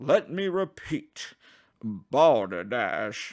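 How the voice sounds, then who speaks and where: Booming and clearly a put-on character voice, it is captured in a very clean recording with a silent background. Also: man, fairly high pitch for a man. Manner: shouting, indignant.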